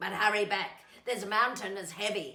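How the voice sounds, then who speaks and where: Putting on a growling character voice, a woman talks at a moderate pace with medium pitch and ordinary pitch variation. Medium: read story. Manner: growling, threatening.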